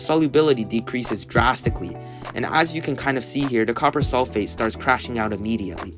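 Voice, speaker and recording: A man speaks at a very fast pace with lively intonation. Music plays in the background. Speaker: high school student chemistry channel host. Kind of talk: science explainer narration.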